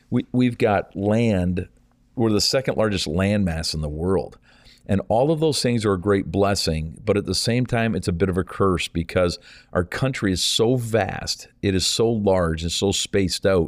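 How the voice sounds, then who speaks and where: In a plain, everyday voice, a man talks at a moderate pace in a fairly low pitch with ordinary pitch variation. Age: 50s. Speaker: evangelist. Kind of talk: interview.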